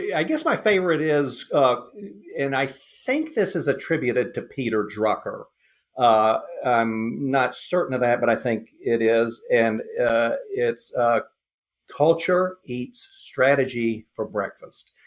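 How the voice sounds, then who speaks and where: The speaker talks at a fairly slow pace in a Southern US accent, with ordinary pitch variation. The recording is very clean, with a silent background. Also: man, fairly high pitch for a man. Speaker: lean consultant. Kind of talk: podcast interview. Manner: halting, many fillers.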